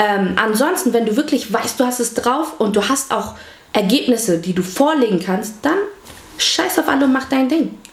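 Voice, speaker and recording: A woman speaks at a moderate pace in a high voice with lively intonation. The room echoes audibly and there is noticeable background noise. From Hamburg, Germany. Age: 20s. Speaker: vlogger. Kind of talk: casual interview.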